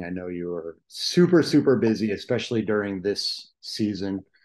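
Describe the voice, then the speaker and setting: A man's unremarkable speaking voice, fairly low-pitched, with ordinary pitch variation, a moderate pace and a quiet background. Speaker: podcast host. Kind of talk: casual podcast interview.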